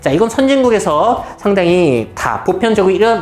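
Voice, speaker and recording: Music in the background and audible room echo behind a man speaking at a fairly quick pace. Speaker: futurist lecturer. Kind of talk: lecture.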